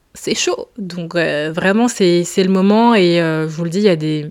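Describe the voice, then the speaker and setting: A woman speaks with a fairly low pitch. Her intonation is fairly even and her pace moderate. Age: 20s. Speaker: podcast host. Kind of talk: casual solo monologue. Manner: casual, hesitant with many fillers.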